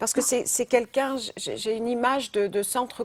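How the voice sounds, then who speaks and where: At a moderate pace, a woman with a fairly high pitch speaks in a dry, close sound with no echo. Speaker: psychic medium. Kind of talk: live phone-in psychic reading. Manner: halting, many repetitions; direct.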